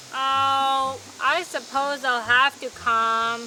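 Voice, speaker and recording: A put-on character voice drawling in a flat monotone at a very slow pace, with clear background noise. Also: woman, high pitch for a woman. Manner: sleepy, drawling.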